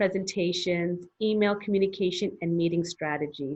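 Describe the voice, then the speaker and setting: Speaking with a Canadian accent at a moderate pace, a woman with a plain, everyday voice sits at a fairly low pitch, with ordinary pitch variation. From Canada. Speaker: English teacher, business founder. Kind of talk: interview.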